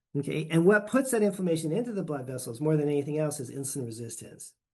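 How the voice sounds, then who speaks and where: An unremarkable speaking voice from a man, fairly high in pitch, with ordinary pitch variation. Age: 60s. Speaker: physician lecturer. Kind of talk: lecture.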